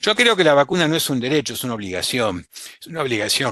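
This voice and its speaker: Over a quiet background, a man with a bright, sharp tone talks at a very fast pace with lively intonation. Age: 60s. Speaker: physician, vaccine specialist. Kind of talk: webinar talk. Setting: online webinar.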